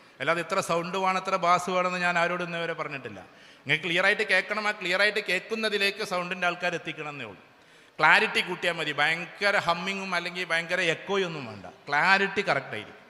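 Over noticeable background noise, a man speaks at a high pitch with ordinary pitch variation and big swings in loudness. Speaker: motivational speaker. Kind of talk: public speech. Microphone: sound problem with speaker system.

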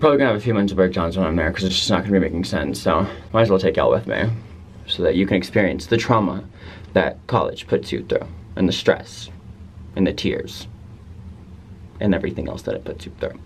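Over light background noise, a man with a fairly low, somewhat breathy voice talks at a very fast pace with ordinary pitch variation. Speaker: college student vlogger. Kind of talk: casual vlog chat. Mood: anxious but joking. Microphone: phone near.

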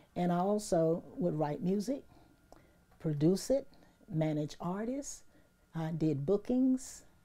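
A woman with an American accent speaks at a fairly slow pace in a dark, mellow tone with lively intonation. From US South. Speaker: retired radio DJ. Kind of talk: interview testimony. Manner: animated. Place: home room. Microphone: lapel.

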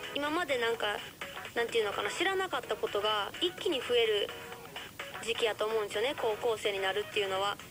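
Over clear background music, a woman with a fairly high pitch speaks very fast with lively intonation. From Kansai, Japan. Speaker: radio host. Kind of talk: radio advice talk. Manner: passionate. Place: studio.

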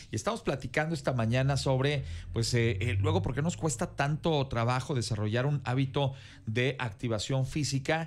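A somewhat breathy man speaks at a moderate pace with ordinary pitch variation. His loudness stays very even throughout. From Mexico. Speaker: news anchor. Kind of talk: panel discussion. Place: studio. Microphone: studio mic.

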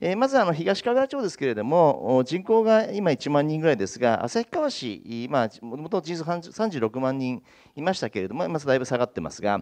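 Against a quiet background, a man speaks at a moderate pace with hardly any pauses, very wide pitch swings and big swings in loudness. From eastern Hokkaido, Japan. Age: 50s. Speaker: town mayor. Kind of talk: panel discussion. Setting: stage with audience. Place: hall. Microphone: handheld.

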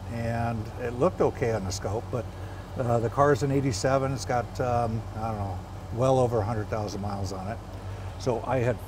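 A man talks at a moderate speed, his intonation fairly even, while background noise is clearly noticeable. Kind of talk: tutorial. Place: workshop. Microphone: phone near.

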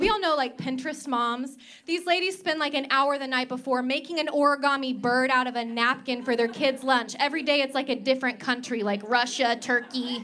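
A woman's raised, projected voice, high-pitched with a bright, sharp tone, at a fairly quick pace with hardly any pauses over light background noise. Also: ordinary pitch variation. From Oklahoma. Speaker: stand-up comedian. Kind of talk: stand-up. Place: stage. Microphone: handheld.

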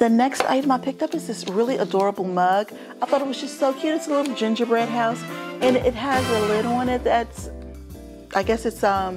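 Clear music plays behind a woman who speaks at a fairly quick pace with ordinary pitch variation. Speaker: home decor vlogger. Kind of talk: casual haul vlog chat. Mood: cheerful. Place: home room. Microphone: lapel.

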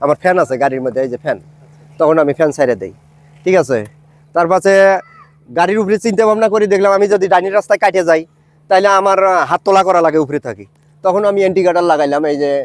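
This man has a high voice with ordinary pitch variation, recorded dry and close with no echo. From Bangladesh, Gaibandha district. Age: 50s. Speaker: hobbyist cycle builder. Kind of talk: street interview.

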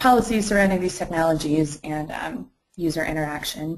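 Fairly even intonation from a woman with a fairly low pitch. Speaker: master's student and health startup co-founder; webinar panelist. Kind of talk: webinar presentation and panel discussion. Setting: live online webinar. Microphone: video call.

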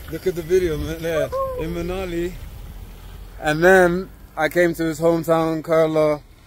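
A man with a high voice talks at a moderate pace in a flat monotone, with long, frequent pauses. The sound is dry, with no echo. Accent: London. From UK. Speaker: travel vlogger. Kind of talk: vlog narration. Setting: outdoors. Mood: upbeat, impressed. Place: open country. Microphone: phone near.

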